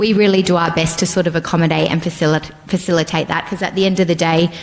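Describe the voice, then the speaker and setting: A woman talks with an Australian accent. Noticeable background noise runs under her voice. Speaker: nurse educator. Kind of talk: presentation. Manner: loud.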